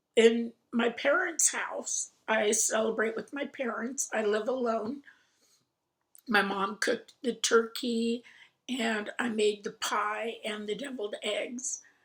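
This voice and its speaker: A woman with an American accent and a fairly high pitch speaks at a very slow pace. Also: fairly even intonation. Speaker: crafting vlogger. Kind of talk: casual chat.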